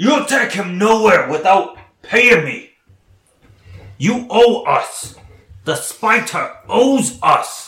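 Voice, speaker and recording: Putting on a character voice, a man talks very slowly at an extremely high pitch with long, frequent pauses, and an echo can be heard. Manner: gruff, contemptuous, then angry.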